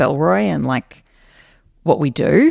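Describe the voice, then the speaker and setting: In an Australian accent, a woman speaks with vocal fry, her sound dry and close with no echo over a quiet background. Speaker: company co-founder and podcast host. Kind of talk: casual chat.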